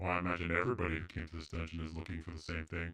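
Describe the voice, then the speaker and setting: A man speaks very fast in a put-on character voice with a very deep, low pitch. His intonation is monotone and flat. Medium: actual play. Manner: casual, dismissive.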